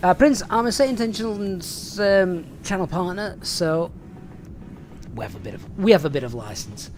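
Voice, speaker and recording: A man with a Yorkshire accent speaks at a moderate pace in a high pitch, his loudness swinging widely over noticeable background noise. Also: lively intonation. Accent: Yorkshire-sounding English. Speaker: flight sim streamer.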